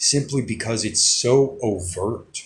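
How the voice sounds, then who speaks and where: Somewhat breathy, a man's medium-pitched voice moves with ordinary pitch variation. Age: 30s. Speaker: vlogger. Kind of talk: casual monologue. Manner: halting.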